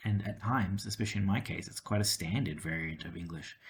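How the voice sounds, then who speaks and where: On a very clean recording with a silent background, a man speaks fairly quickly in a fairly low, somewhat breathy voice. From Australia, city. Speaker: language-learning YouTuber. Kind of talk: casual talk to camera. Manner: hesitant, many fillers.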